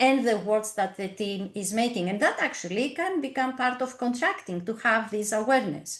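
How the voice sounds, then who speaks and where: Speaking with a non-native accent, a woman has a fairly high pitch and lively intonation. Her pace is moderate. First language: not English. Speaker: team coach. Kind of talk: webinar presentation. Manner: halting.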